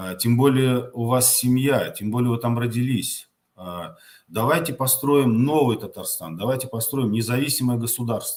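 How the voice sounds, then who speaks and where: A man speaks at a medium pitch and moderate pace, with ordinary pitch variation. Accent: Tatar. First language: Tatar (speaking Russian). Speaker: political activist answering viewer questions. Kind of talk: live Q&A answering viewer questions. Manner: halting, many filler sounds.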